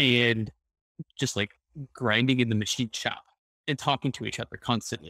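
A man speaks with a bright, sharp tone and fairly even intonation. The sound is dry with no echo, against a quiet background. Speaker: panelist. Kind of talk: interview answer. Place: home room. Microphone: headset.

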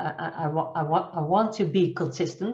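Somewhat breathy and fairly low in pitch, a woman with a Dutch accent speaks at a fairly slow pace with ordinary pitch variation. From Netherlands. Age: 50s. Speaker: coach and trainer. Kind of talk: interview, nonnative English. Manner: halting, searching for words. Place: home room. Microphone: video call.

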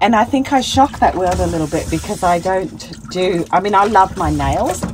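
Loud background noise under a woman talking. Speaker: solo van traveller vlogger. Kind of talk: casual vlog chat. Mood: amused, laughing often. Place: car. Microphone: phone near.

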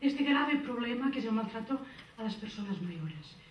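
A woman's voice with audible room echo over light background noise. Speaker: social services team director. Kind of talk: conference presentation. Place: hall. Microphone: pa.

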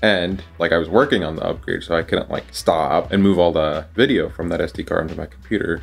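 Faint music plays in the background. A man with a very deep, low pitch talks at a fairly quick pace. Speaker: sysadmin vlogger. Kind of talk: casual vlog chat. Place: home room. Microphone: phone near.

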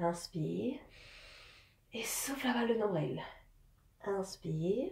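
A woman is heard with audible room echo. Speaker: fitness instructor. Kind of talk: guided exercise instruction. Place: home room. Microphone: camera far.

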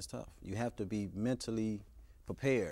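At a moderate pace, the speaker uses ordinary pitch variation with an American accent. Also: man. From US, Chicago. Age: 30s. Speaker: author; interview guest. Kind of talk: interview. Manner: halting. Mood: calm, reflective, serious. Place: studio. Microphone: lapel.

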